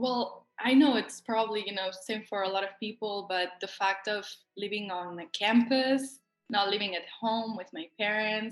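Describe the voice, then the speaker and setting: With a Spanish accent, a woman speaks at a moderate pace and a fairly high pitch. Her intonation is fairly even, and music plays in the background. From Spain, Barcelona. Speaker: college tennis player. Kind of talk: interview.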